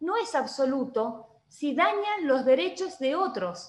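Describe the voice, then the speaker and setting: Audible room echo surrounds a woman talking at a high pitch with very wide pitch swings. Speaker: lawyer. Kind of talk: online panel talk.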